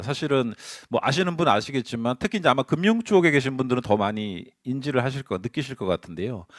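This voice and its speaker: This man has a medium pitch and very wide pitch swings, in a very clean recording with a silent background. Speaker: conference speaker on governance and internal control. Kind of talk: conference presentation. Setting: seminar hall with audience. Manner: speeding up under time pressure; hesitant fillers, self-corrections.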